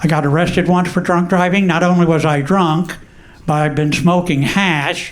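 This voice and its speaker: A man with an American accent speaks at a moderate pace with a high pitch, monotone, flat intonation and very even loudness, with audible room echo in the recording. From Texas, Houston. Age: 70s. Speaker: comedian. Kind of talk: stand-up.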